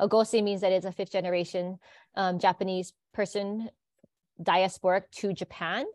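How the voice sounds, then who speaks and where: A woman with a Hawaiian accent, medium pitch and fairly even intonation at a moderate pace, in a dry, close sound with no echo and a very clean recording with a silent background. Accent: Hawaii English. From Hawaii (Hilo). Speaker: biology teacher. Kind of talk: interview conversation.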